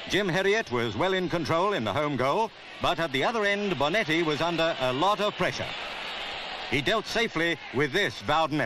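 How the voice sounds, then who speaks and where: Over noticeable background noise, a man with a high pitch speaks at a fairly quick pace in an upbeat tone, with lively intonation and very even loudness. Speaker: sports commentator. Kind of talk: 1960s newsreel-style sports commentary narration, scripted. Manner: brisk, crisp and upbeat, formal period-style delivery; rising excitement at the goal, jubilant.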